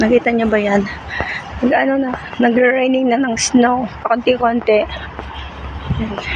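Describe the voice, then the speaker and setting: The speech has long, frequent pauses. Noticeable background noise is present. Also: moderate pace. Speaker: vlogger. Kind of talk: walking vlog. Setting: outdoors, walking in snow.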